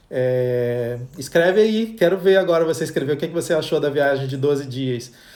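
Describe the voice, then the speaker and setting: A man with an unremarkable speaking voice talks at a moderate pace in a fairly high voice, with hardly any pauses and ordinary pitch variation. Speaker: travel agent hosting a livestream. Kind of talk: live Q&A stream. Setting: Instagram live.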